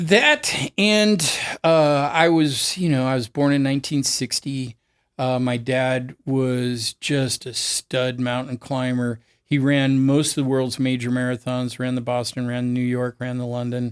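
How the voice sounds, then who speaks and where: Recorded very clean with a silent background and a dry, close sound with no echo, a man with a US West Coast accent speaks fairly slowly at medium pitch with fairly even intonation. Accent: US West Coast American. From US, Oregon. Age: 60s. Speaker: cancer survivor and distance swimmer. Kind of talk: interview conversation.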